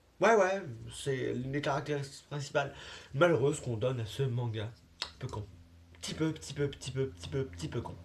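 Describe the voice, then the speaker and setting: A man's somewhat breathy, medium-pitched voice at a fairly quick pace, with lively intonation, long, frequent pauses and audible room echo. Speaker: YouTuber. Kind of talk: casual vlog monologue. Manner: fast.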